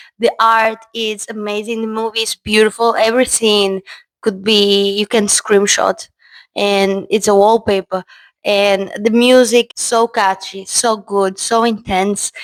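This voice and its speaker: A woman with a Portuguese accent speaks at a fairly high pitch and a fairly slow pace. Her intonation is monotone and flat, and the sound is dry and close with no echo. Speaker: film reviewer. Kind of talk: video essay, partly read script.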